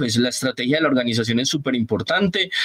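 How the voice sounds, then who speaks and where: There is noticeable background noise. A man's voice comes through over it. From Colombia, Antioquia (paisa), raised on San Andrés island. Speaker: innovation analyst. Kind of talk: casual interview.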